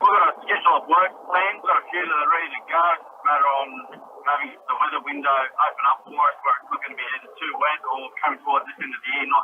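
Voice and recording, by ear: The delivery is fast, with few pauses and fairly even intonation. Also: man, fairly high pitch for a man.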